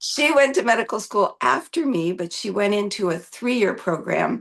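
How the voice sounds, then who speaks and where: In a Canadian accent, a woman speaks at a moderate pace in a normal speaking voice, medium in pitch with ordinary pitch variation. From Canada. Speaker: physician. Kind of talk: interview.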